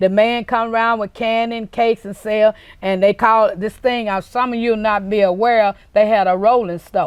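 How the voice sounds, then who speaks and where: A woman with a Mississippi accent speaks at a moderate pace with fairly even intonation. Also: fairly high pitch for a woman, hardly any pauses, quiet background. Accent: Southern US, Mississippi. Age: 60s. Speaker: interviewee, local actress. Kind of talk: interview.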